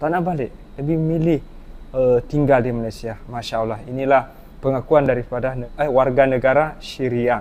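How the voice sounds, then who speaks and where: At a moderate pace, this is a plain, everyday voice with fairly even intonation. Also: man, medium pitch for a man. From Indonesia. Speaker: reaction video host. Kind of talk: reaction commentary.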